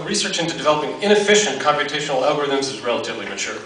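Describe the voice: A man with a fairly high pitch speaks at a very fast pace, with audible room echo.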